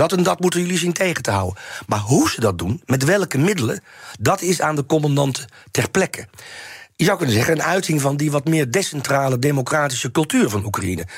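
Using vocal fry, a man speaks at a fairly high pitch with very wide pitch swings. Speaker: historian and Russia expert. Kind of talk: interview. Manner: halting.

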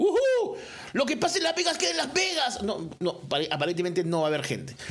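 The speech is very fast with an animated tone. Noticeable background noise and audible room echo surround it. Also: man. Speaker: sports podcast host. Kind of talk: solo sports commentary podcast.

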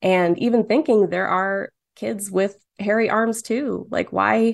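Over a quiet background, a woman with a plain, everyday voice speaks fairly slowly at a medium pitch with ordinary pitch variation. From Michigan, Dearborn. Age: 20s. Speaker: cartoonist. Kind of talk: casual chat.

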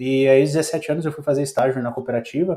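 At a moderate speed, a man talks in a dark, mellow tone. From Rio Grande do Sul, rural interior. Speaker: agronomist and startup founder. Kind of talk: interview, casual chat.

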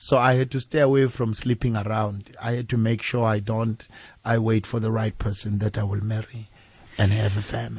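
Against a quiet background, a somewhat breathy man talks at a fairly quick pace in a medium pitch, flat and monotone. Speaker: gospel artist. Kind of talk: radio interview. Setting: radio studio.

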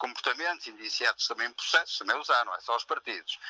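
In an unremarkable speaking voice at medium pitch, a man talks fairly quickly, the sound dry and close with no echo. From Portugal, Maia (north). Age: 60s. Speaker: founding member of a new political party. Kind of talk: phone interview.

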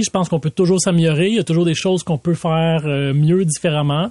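A man with a Quebec accent talks at a fairly quick pace in a high pitch. His tone is dark and mellow, and the sound is dry and close with no echo. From Laval, Quebec. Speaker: city mayor. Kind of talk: interview. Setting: studio.

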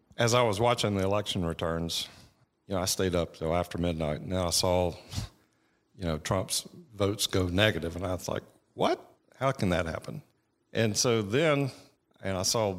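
On a very clean recording with a silent background, a man with a Georgia accent and a very deep, low pitch speaks at a moderate pace with ordinary pitch variation and long, frequent pauses. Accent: Southern American (Georgia). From Georgia, US South. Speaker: attorney. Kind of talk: radio interview.

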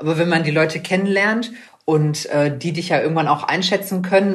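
Amid audible room echo, a woman talks at a fairly quick pace in a very deep, low pitch. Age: 20s. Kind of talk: interview. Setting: video call.

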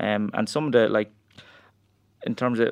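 A man with a rural Irish accent talks at a fairly quick pace in a medium pitch. The background is quiet. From rural Ireland. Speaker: strength coach and powerlifter. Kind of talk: interview.

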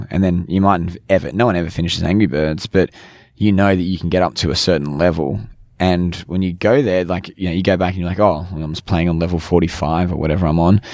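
Talking very fast in an Australian accent, a man uses a very deep, low pitch and fairly even intonation. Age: 20s. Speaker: business founder. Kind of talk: interview. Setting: podcast van.

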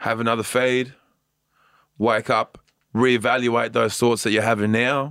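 Recorded very cleanly against a silent background, a man speaks fairly slowly in a flat monotone at a very even loudness, with long, frequent pauses. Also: medium pitch for a man. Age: 30s. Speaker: stand-up comedian. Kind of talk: interview.

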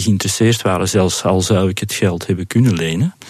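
A man speaks over noticeable background noise. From Flanders, Belgium. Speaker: business owner. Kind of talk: interview.

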